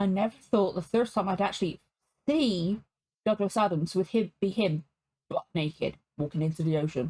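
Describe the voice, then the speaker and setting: This woman has a British accent and a medium-pitched, somewhat breathy voice, talking at a moderate pace in a dry, close recording with no echo. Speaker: reaction video creator. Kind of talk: reaction commentary.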